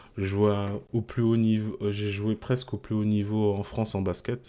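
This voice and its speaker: Speaking at a moderate pace, the man has a fairly low pitch, a dark, mellow tone and a monotone, flat intonation. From Paris region, Sarcelles. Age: 20s. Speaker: e-commerce entrepreneur and coach. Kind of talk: podcast interview. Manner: hesitant, many fillers.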